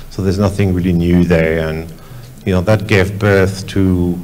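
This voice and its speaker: In a French accent, a man with a very deep, low pitch is heard through audible room echo and noticeable background noise. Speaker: visual effects studio executive. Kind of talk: panel discussion. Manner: halting.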